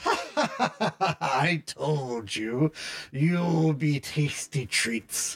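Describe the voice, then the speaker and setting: Cackling in a put-on character voice, a man speaks at a medium pitch and a very slow pace. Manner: cackling, gloating; menacing.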